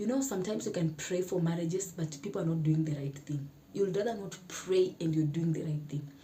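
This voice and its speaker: A woman with a fairly low voice speaks with ordinary pitch variation, and there is audible room echo. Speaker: YouTuber. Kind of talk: casual talk to camera.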